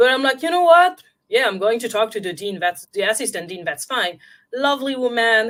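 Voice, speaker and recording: A woman's fairly high voice with a French accent, fairly quick, with very wide pitch swings, on a very clean recording with a silent background. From France. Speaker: intuitive guide and film scholar. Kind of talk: interview.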